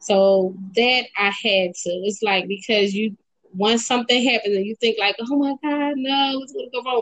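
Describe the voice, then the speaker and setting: Here is a woman with an American accent and a fairly high pitch. It's a normal speaking voice. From Philadelphia, Pennsylvania. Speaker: poet and writer. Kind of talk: interview.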